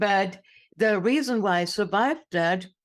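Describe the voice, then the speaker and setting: A woman speaks at a fairly slow pace with lively intonation and medium pitch. The recording is very clean, with a silent background. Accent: German. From Germany. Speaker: inspirational speaker. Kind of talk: interview testimony.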